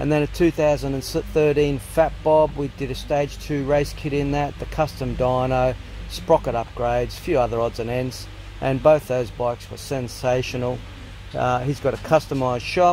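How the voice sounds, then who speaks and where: Heard over light background noise, a man with an Australian accent speaks at a moderate pace in a dry sound with no echo. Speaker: motorcycle vlogger. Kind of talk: casual vlog. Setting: workshop. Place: workshop. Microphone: phone near.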